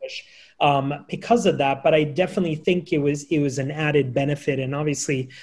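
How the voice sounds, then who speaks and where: Very fast and somewhat breathy, a man speaks with an American accent. His pitch is fairly high, with ordinary pitch variation. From US, Macedonian-speaking home. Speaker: diaspora organization president, moderator. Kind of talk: panel discussion on video call. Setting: video call. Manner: halting, many fillers.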